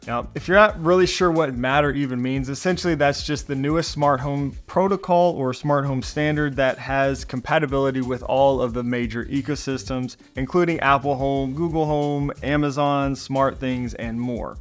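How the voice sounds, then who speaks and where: Faint music plays in the background as a man speaks. His intonation is fairly even, with hardly any pauses. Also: moderate pace. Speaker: tech reviewer. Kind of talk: product review commentary. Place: home room.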